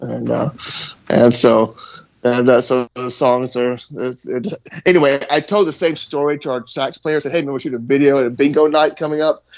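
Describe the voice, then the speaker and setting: A fairly high-pitched male voice at a fairly quick pace, with fairly even intonation. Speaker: rock band musician. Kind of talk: casual podcast chat. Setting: podcast recording. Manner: fast; halting, many fillers and repeats.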